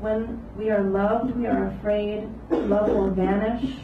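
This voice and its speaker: A woman speaks at a fairly slow pace amid audible room echo and light background noise. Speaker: poet. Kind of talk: reading poems aloud. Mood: calm, solemn. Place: cafe.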